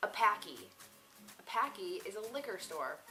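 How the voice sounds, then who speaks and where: Music plays in the background. A woman speaks in an American accent. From Massachusetts, New England. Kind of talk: casual vlog talk to camera.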